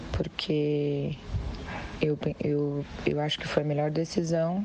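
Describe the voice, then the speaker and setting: Over noticeable background noise, a woman talks very slowly in a very deep, low voice with fairly even intonation. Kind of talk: personal statement in a voice message. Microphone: phone near.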